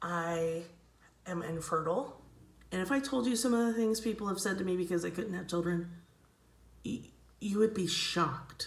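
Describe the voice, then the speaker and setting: Amid noticeable background noise and audible room echo, a woman with medium pitch and ordinary pitch variation speaks at a moderate pace with long, frequent pauses. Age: 40s. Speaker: actor and comedy vlogger. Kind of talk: casual direct-to-camera monologue.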